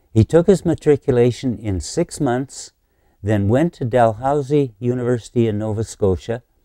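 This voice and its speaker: A man's dark, mellow, medium-pitched voice with a Canadian accent, moderate pace and ordinary pitch variation, dry and close with no echo in a very clean recording over a silent background. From Canada. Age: 80s+. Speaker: lecturer, monetary reform activist. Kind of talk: lecture. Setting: conference address.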